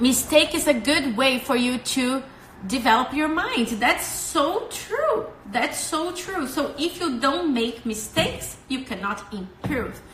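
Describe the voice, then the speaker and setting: A woman's high voice in a Brazilian accent, very slow and with lively intonation, amid audible room echo and noticeable background noise. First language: Portuguese. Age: 20s. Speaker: English school staff giving study tips. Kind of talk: livestream talk with viewer comments. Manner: animated.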